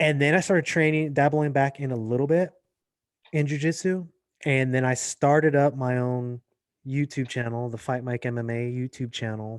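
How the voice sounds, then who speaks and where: In an American accent, a man with an ordinary speaking voice talks at a medium pitch and moderate pace with fairly even intonation. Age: 40s. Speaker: actor and MMA journalist. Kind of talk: casual podcast interview.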